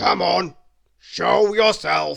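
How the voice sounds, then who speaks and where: A man's booming, rumbling, raspy put-on character voice. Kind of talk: bedtime story. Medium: read story. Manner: loud.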